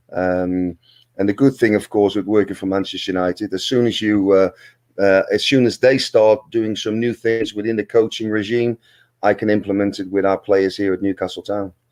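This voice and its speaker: With a Dutch accent, a man talks at a moderate pace and a fairly low pitch with fairly even intonation, in a dry, close sound with no echo and a very clean recording with a silent background. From Netherlands. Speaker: football manager and former pro player. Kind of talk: interview. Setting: live stream.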